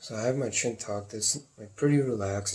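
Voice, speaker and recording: A somewhat breathy voice is heard. The pace is moderate. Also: man. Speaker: video blogger sharing chronic pain symptoms. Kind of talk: personal symptom vlog. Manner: low tone or whispering at times; halting.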